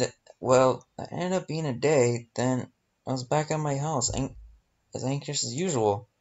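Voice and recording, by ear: A natural read-aloud voice over a quiet background, its pitch varying in an ordinary way.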